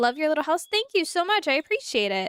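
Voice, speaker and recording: Bright and sharp in tone, a woman speaks at a moderate pace, with a dry, close sound and no echo. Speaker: gaming streamer. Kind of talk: live gameplay commentary. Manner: animated.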